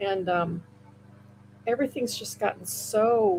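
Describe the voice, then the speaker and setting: A woman with an American accent speaks at a fairly high pitch. Noticeable background noise runs beneath her voice. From US Midwest, Iowa. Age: 60s. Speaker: comic book inker and writer. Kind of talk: interview.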